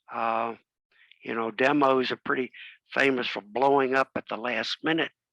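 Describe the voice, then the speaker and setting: This man's voice has a bright, sharp tone at a medium pitch, with fairly even intonation and a fairly slow pace. The sound is dry and close with no echo, on a very clean recording with a silent background. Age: 80s+. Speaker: amateur radio presenter. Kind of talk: club talk presentation.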